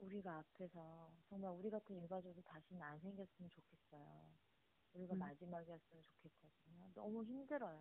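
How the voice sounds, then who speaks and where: Fairly quick and somewhat breathy, a woman speaks at a fairly low pitch with ordinary pitch variation and big swings in loudness. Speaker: bereaved parent and activist. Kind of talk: interview testimony.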